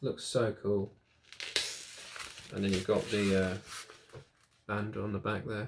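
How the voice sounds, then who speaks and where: A fairly low-pitched man's voice, monotone and flat, at a fairly slow pace with long, frequent pauses. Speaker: music YouTuber. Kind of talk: casual vlog review. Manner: hesitant, many fillers.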